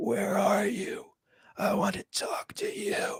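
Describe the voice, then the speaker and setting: A raspy put-on character voice at a fairly slow pace. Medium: read story. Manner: repetitive, halting.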